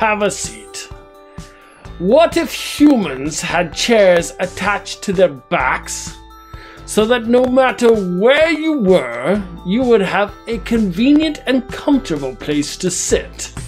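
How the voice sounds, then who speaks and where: Put-on character voice, fairly high and at a fairly slow pace, with clear music in the background. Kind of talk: comedic monologue to camera. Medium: role play. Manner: grandiose, pompous.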